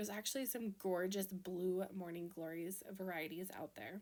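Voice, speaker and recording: Speaking at a moderate pace with a Minnesota accent, a woman has a medium pitch and ordinary pitch variation. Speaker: card-making crafter. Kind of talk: tutorial. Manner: casual, chatty.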